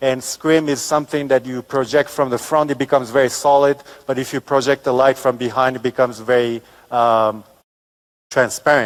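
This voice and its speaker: Speaking at a fairly quick pace, a man uses a medium pitch and monotone, flat intonation, with a dry, close sound and no echo. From Japan. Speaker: architect. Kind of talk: lecture. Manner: halting, many fillers.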